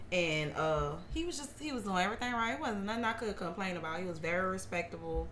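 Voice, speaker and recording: A woman's medium-pitched, very fast speech with lively intonation, plus audible room echo and noticeable background noise. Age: 30s. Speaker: hairstylist. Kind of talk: casual chat.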